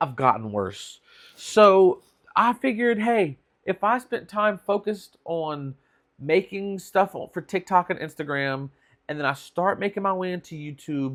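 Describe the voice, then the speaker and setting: In a very clean recording with a silent background, a man with a high pitch speaks at a fairly slow pace with lively intonation. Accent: Louisiana. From South Louisiana, USA. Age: 30s. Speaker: vlogger, aspiring filmmaker. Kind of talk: casual vlog talk to camera. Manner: candid, humorous, self-deprecating.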